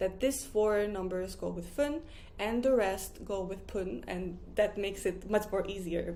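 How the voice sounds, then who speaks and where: Medium pitch from a woman at a moderate pace, with audible room echo. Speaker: Japanese language teacher. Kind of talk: tutorial.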